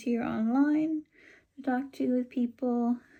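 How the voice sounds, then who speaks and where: In a Californian accent, a woman talks at a very slow pace with a dark, mellow tone. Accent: Californian American English. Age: 30s. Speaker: book vlogger. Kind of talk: casual vlog talk. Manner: halting, many ums.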